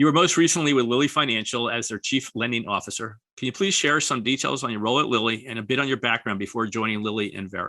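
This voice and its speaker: A man with an American accent speaks at a very fast pace, hardly pausing at all. His tone is bright and sharp, with ordinary pitch variation. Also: medium pitch for a man. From New York. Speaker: podcast host. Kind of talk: scripted intro; podcast interview.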